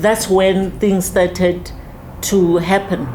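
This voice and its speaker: A woman speaks at a very slow pace in a medium pitch. Noticeable background noise runs underneath. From South Africa, Soweto (Mofolo). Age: 70s. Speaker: community elder in a civic discussion. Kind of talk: casual discussion / interview.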